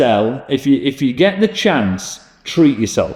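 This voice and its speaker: This man speaks with a Yorkshire accent. His pitch swings very widely. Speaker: podcast host, leisure venue business. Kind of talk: casual chat. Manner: hesitant, many fillers.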